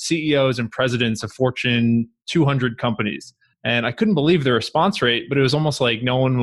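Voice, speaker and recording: A normal speaking voice with an American accent moves at a fairly quick pace. Its pitch varies in an ordinary way. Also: man. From Long Island, New York. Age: 20s. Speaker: real estate investor. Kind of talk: interview.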